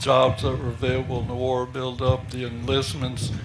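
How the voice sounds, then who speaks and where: A man talks in a space with audible room echo. Noticeable background noise is present. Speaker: war veteran. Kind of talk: interview.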